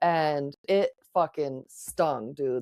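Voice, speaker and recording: Her pitch is very deep and low. The woman keeps a fairly even intonation. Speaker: podcast host. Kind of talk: casual chat.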